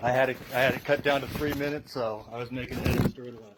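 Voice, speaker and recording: Over noticeable background noise, a man's medium-pitched voice holds fairly even intonation. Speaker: parent testifying at hearing. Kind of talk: public testimony. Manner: fast.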